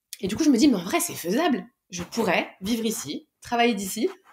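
The speaker sounds somewhat breathy and moves along at a fairly quick pace. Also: woman. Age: 30s. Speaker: public sector digital worker. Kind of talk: interview.

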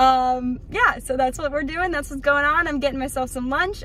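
Music plays behind a woman with a high-pitched voice. Her pitch varies in an ordinary way, and the sound is dry with no echo. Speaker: vlogger. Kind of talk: casual vlog chat. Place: car. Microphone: phone near.

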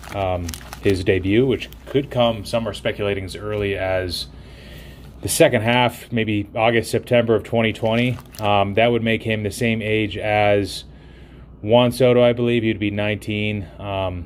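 This is a normal speaking voice from a man at a fairly low pitch. He keeps a moderate pace over light background noise. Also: fairly even intonation. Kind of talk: casual vlog chat. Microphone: phone near.

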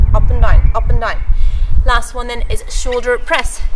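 At a moderate pace, a woman talks while music sounds in the background. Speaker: fitness trainer. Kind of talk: workout tutorial. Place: garden.

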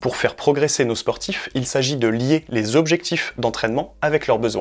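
The background stays quiet. His pace is moderate, and this man's pitch varies in an ordinary way. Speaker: sports coach educator. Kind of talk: educational explainer video. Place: home room. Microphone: lapel.

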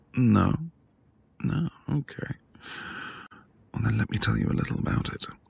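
A man's put-on character voice, fairly low in pitch, with vocal fry, a slightly husky edge, ordinary pitch variation and a moderate pace

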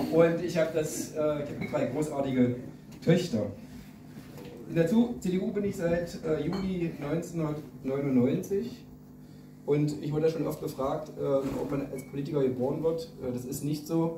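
The speech comes at a very slow pace with ordinary pitch variation. Noticeable background noise runs underneath. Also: man, fairly high pitch for a man. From Saxony-Anhalt, Germany. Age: 40s. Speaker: state politician. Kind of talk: campaign speech. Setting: party meeting hall with audience. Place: hall. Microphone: camera far.

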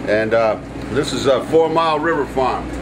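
A man talks at a moderate pace with ordinary pitch variation. Noticeable background noise runs behind him. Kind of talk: cooking tutorial. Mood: warm, enthusiastic. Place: kitchen.

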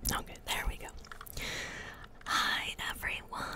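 The speech goes at a fairly slow pace. Loud background noise fills a dry sound with no echo. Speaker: ASMR gaming creator. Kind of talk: ASMR-style casual talk to camera. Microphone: studio mic.

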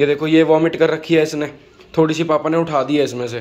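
A man's words come at a fairly quick clip. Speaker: vlogger. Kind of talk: casual vlog chat. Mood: frustrated, worried about pet. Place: home room. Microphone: phone near.

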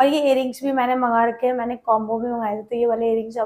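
Pitched high, a woman talks with monotone, flat intonation. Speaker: vlogger. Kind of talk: product haul vlog. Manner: chatty, informal.

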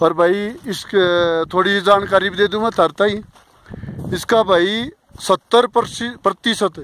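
A high-pitched man with long, frequent pauses, in a dry, close sound with no echo. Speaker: motorcycle rider. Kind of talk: travel vlog commentary to camera. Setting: outdoors, windy. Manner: casual, enthusiastic.

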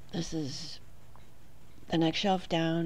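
With a New Hampshire accent, a woman speaks at a fairly low pitch and fairly even intonation. Light background noise can be heard. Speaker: homemaker. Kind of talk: casual talk to camera. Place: home room. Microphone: phone near.

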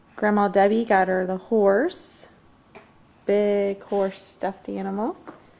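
The pace is very slow. A woman does the talking. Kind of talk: home video narration, baby talk. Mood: warm, affectionate, playful. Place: home room. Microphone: old recording.

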